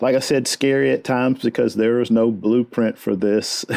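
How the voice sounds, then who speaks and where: Speaking at a fairly slow pace with a Texan accent, a man uses a medium pitch, ordinary pitch variation and a dark, mellow tone, in a dry, close sound with no echo. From Texas, Houston. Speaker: fly fishing guide. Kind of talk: interview.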